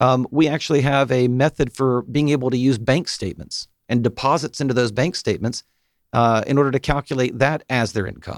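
A man with an American accent and an unremarkable speaking voice talks at a fairly quick pace and medium pitch with ordinary pitch variation, in a very clean, dry, close recording with a silent background and no echo. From US South, Atlanta area. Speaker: mortgage banker. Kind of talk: radio interview. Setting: studio.

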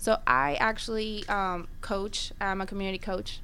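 A woman's medium-pitched, bright, sharp voice in a flat monotone. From Peru. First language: Spanish. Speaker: baker. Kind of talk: radio interview. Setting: studio.

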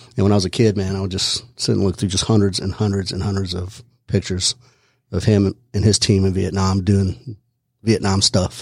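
A man's fairly low, somewhat breathy voice at a fairly quick pace, monotone and flat, in a very clean recording with a silent background. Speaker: retired army special forces soldier, shooting instructor. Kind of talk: casual interview. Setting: studio.

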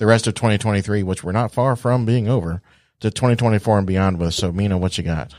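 A plain, everyday voice speaks at a moderate pace. The recording is very clean and the background is silent. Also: man. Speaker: radio host. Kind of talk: radio interview. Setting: studio. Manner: upbeat.

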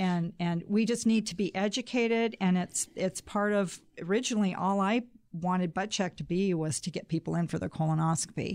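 On a very clean recording with a silent background, a woman in an unremarkable speaking voice talks at a moderate pace and medium pitch, with ordinary pitch variation and hardly any pauses. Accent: American. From Pacific Northwest US (Spokane, then Boise, Idaho). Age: 60s. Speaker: founder of a colon cancer awareness organization. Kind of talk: radio interview. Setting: studio.

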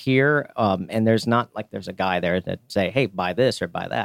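With a plain, everyday voice at medium pitch, a man speaks with lively intonation, heard dry and close with no echo on a very clean recording against a silent background. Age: 40s. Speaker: craft beer retail store owner. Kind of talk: radio interview. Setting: studio.

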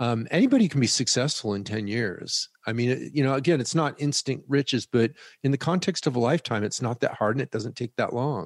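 In a normal speaking voice, a man of medium pitch talks at a fairly quick pace with hardly any pauses and ordinary pitch variation, the sound dry and close with no echo against a quiet background. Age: 60s. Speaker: personal finance educator, former hedge fund founder. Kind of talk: interview.

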